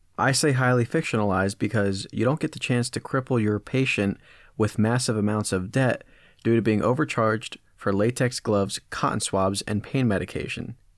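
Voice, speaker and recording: A man speaks in a plain, everyday voice at a medium pitch, with ordinary pitch variation and very even loudness. His pace is moderate, and the recording is very clean with a silent background. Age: 20s. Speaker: podcast co-host. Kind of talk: scripted comedic segment; casual chat.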